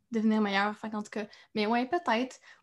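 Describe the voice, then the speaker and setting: A woman speaks at a fairly high pitch with ordinary pitch variation and a somewhat breathy voice. The recording is very clean, with a silent background. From Quebec, Trois-Rivières. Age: young. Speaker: actress. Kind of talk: casual interview chat.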